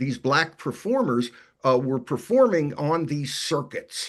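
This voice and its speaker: A man talks with a slight New York accent. His voice sits fairly high, and his intonation is lively. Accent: New York accent, faint. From New York City, Brooklyn. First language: Yiddish. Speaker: author and musicologist. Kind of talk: interview Q&A. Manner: halting, many repetitions and fillers.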